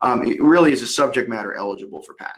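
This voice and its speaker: The pace is very fast. It is a man who talks. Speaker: patent attorney. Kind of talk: webinar presentation. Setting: video call. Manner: informal.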